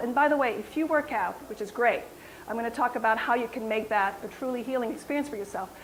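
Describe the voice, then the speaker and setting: Amid noticeable background noise, a woman talks very fast in an animated tone, her high voice full of lively intonation. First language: French. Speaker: wellness coach and yoga teacher. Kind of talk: health talk to audience.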